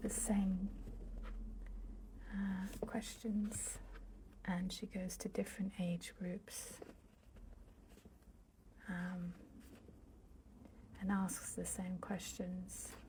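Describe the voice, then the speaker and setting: A soft-spoken woman whispers at a very slow pace, with long, frequent pauses. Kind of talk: ASMR bookshelf tour, casual talk to camera. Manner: soft-spoken, whispery.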